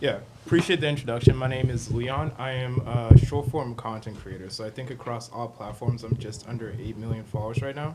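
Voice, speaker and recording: Over noticeable background noise, a man talks at a fairly quick pace with hardly any pauses. His medium-pitched voice keeps a fairly even intonation. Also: big swings in loudness. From US, Atlanta area (born in Kenya, moved at five). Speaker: social media content creator. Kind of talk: podcast interview.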